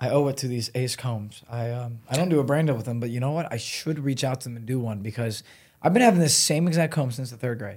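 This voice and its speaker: Speaking at a very fast pace with an American accent, a man with a medium, somewhat breathy voice shows ordinary pitch variation and big swings in loudness on a very clean recording with a silent background. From US Midwest, Cleveland area, Ohio. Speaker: content creator. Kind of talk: casual chat.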